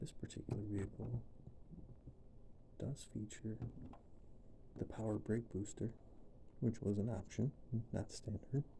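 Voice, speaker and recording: Soft-spoken and fairly slow, a man talks in a fairly low pitch with a dark, mellow tone, vocal fry and fairly even intonation. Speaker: ASMR creator, car enthusiast. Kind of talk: soft-spoken ASMR tutorial.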